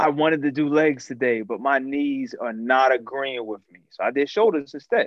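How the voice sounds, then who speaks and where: A man's fairly high-pitched voice at a moderate pace, with ordinary pitch variation and hardly any pauses. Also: big swings in loudness. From Miami, US (immigrant child). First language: non-English. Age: 30s. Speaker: nonprofit director and martial artist. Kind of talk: casual interview chat.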